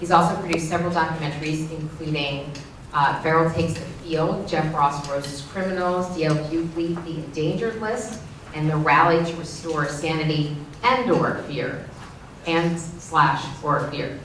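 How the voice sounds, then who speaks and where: A woman's fairly low voice at a moderate pace, fairly even in intonation, with audible room echo and noticeable background noise. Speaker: TV news anchor and panel moderator. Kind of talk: event moderation. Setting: school auditorium with audience.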